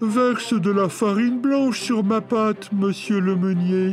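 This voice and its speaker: A put-on character voice, fairly high in pitch and fairly slow, over clear background noise. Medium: read story. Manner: cunning, play-acting.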